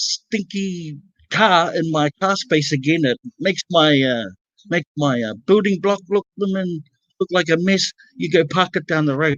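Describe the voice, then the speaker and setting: A man with a New Zealand accent talks at a fairly slow pace with ordinary pitch variation. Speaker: panel guest telling a story. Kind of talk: casual storytelling on a livestream. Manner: halting, many fillers.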